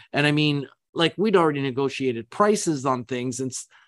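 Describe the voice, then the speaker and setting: A man with a normal speaking voice talks at a fairly quick pace with ordinary pitch variation. The sound is dry and close with no echo, over a quiet background. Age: 60s. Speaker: business founder and executive. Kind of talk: interview.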